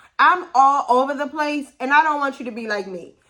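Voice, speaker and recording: Raised and projected, a woman's high-pitched voice sounds bright, sharp and animated. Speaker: language learning youtuber. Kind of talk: vlog-style tutorial talk.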